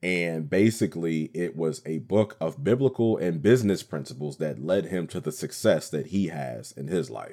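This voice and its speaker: A man's very deep, low voice with vocal fry, a dark, mellow tone, very wide pitch swings and a moderate pace. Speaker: radio host and voiceover artist. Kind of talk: casual podcast monologue, storytelling. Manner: talkative, casual, animated.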